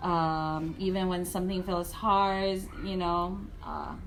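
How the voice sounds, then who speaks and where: A woman speaks with fairly even intonation. Audible room echo and noticeable background noise fill the recording. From moved to Guam at age nine. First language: not English (English is third language). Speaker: first grade teacher. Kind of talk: interview.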